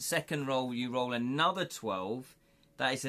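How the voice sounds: The clip carries a natural reading voice.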